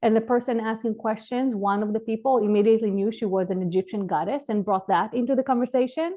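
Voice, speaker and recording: A woman's fairly high voice with ordinary pitch variation, at a very fast pace with hardly any pauses. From Israel. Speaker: clinical psychologist and spiritual channel. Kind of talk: interview.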